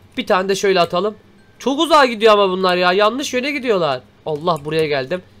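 Against music in the background, a man with a high voice speaks at a very fast pace with very wide pitch swings. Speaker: gaming YouTuber. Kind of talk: let's play commentary. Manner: animated.

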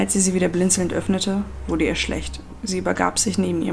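What you hear is an unforced reading voice.

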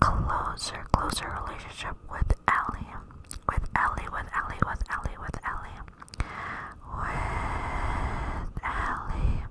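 Loud background noise surrounds a woman who is whispering. She goes at a very slow pace. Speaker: ASMR creator. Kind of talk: soft ASMR rambling chat. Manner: cupped-hand close whisper into microphone. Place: home room. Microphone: studio mic.

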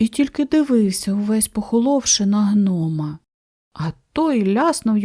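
Over a quiet background, a natural reading voice with lively intonation.

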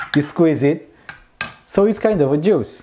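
A man speaks at a fairly slow pace with ordinary pitch variation. Light background noise sits behind him. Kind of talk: casual cooking vlog chat. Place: kitchen. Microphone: lapel.

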